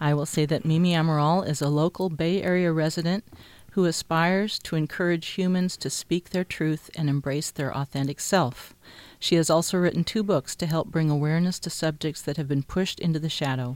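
A woman with a normal speaking voice, fairly low in pitch, fairly quick and fairly even in intonation, on a very clean recording with a silent background. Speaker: radio host. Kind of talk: radio talk show interview. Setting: radio studio.

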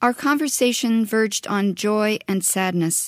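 A woman with an ordinary speaking voice and fairly high pitch, ordinary pitch variation, on a very clean recording with a silent background. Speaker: radio host and curator. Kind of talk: interview. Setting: radio studio.

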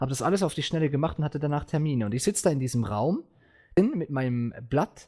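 A man talks at a very fast pace in a fairly high pitch. His tone is dark and mellow, and somewhat breathy. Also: lively intonation. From Switzerland. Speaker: podcast host. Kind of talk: casual chat. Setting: online voice chat server.

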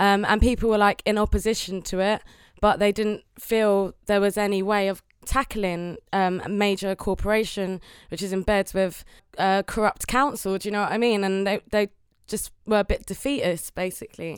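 In a London accent, a woman speaks at a moderate pace and medium pitch with fairly even intonation. The recording is very clean, with a silent background. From London (Newham). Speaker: singer and assembly candidate. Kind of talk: panel discussion. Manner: casual, filler-heavy.

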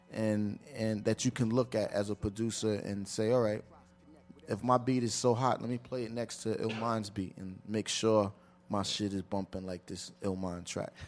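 A man's fairly low voice at a moderate pace, flat and monotone, with music playing in the background. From Providence, Rhode Island. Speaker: rapper and A&R. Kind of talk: radio interview.

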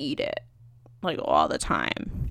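An American accent comes through. It belongs to a woman. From US East Coast. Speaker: podcast host. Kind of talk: casual solo chat. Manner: animated.

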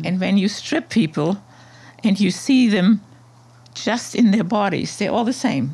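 A woman speaks at a medium pitch with a dark, mellow tone. Her voice is somewhat breathy, with lively intonation. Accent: German. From Germany, Hamburg. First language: German. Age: 70s. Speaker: artist. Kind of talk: interview conversation.

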